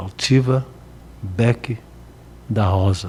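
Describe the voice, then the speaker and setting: In a dark, mellow tone, a man speaks with a fairly low pitch, somewhat breathy, with ordinary pitch variation. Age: 70s. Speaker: radio broadcaster. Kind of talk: interview.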